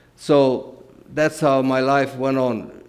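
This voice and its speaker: Here a man is speaking. He has a Romanian accent. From Transylvania, Romania. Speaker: guest speaker. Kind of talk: testimony.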